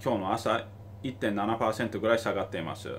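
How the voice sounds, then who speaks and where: At a fairly slow pace, a man talks in a somewhat breathy, medium-pitched voice. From Tokyo, Japan. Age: 30s. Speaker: investor and finance YouTuber; investor commentator. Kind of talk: video commentary. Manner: halting, with many fillers. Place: home room. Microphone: phone near.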